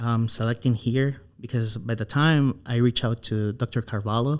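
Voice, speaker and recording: A man at a moderate pace with a non-native accent, ordinary pitch variation and a very clean recording with a silent background. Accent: non-native English speaker. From Honduras. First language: Spanish. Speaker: animal science doctoral researcher. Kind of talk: podcast interview.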